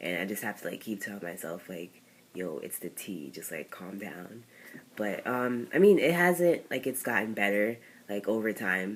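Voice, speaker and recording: At a moderate pace, a man delivers his words in a fairly low pitch. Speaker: vlogger. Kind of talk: personal vlog. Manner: casual, many fillers.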